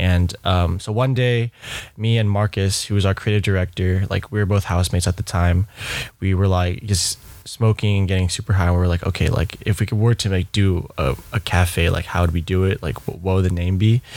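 At a fairly quick pace, a man speaks in a very deep, low voice with fairly even intonation and very even loudness. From US West Coast, Bay Area. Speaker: coffee and event company founder. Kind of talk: casual interview chat.

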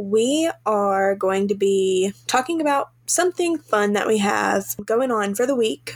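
A woman with a Southern US accent, fairly high in pitch, with ordinary pitch variation. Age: 20s. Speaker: podcast co-host. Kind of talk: casual chat. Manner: animated.

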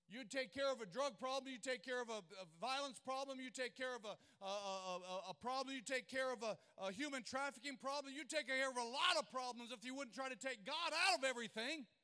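The voice is raised and projected, with a bright, sharp tone and a fairly quick pace. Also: man, extremely high pitch for a man, ordinary pitch variation. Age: 50s. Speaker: pastor. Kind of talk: sermon. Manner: repetitive stammering restarts.

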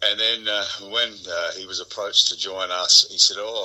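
A man speaking in an Australian accent keeps a moderate speed. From South Australia. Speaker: country musician. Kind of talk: interview.

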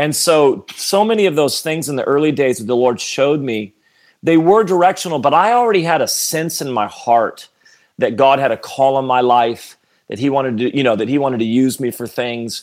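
In a very clean recording with a silent background, a man speaks in a normal speaking voice with a fairly high pitch, lively intonation and a fairly quick pace. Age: 40s. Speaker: pastor. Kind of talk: casual chat.

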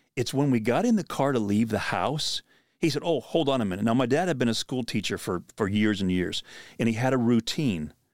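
A man with an American accent and an unremarkable speaking voice talks at medium pitch with lively intonation and very even loudness. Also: fairly quick pace, very clean recording, silent background. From Pennsylvania. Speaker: podcast host and outdoor minister. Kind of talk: casual chat.

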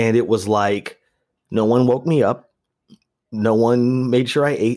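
A man in an American accent, medium pitch, fairly even intonation and a fairly slow pace. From Las Vegas, US. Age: 40s. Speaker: comedian and actor. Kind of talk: casual chat. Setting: video call.

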